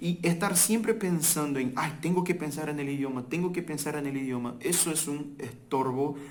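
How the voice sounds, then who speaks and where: With a Portuguese accent, a man of fairly high pitch talks with hardly any pauses and ordinary pitch variation, amid audible room echo and noticeable background noise. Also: moderate pace. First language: Portuguese (speaking Spanish). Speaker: language teacher. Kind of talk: casual talk to camera. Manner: halting.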